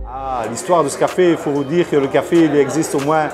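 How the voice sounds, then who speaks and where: Fairly high-pitched man at a moderate pace, fairly even intonation, audible room echo and noticeable background noise. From Belgium, Charleroi (Wallonia). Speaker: café owner. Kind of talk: interview testimony.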